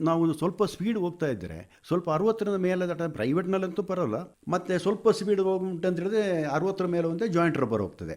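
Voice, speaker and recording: The man has a high-pitched voice with ordinary pitch variation. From Kodagu, Karnataka (Madikeri). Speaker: retired bus driver. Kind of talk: radio interview.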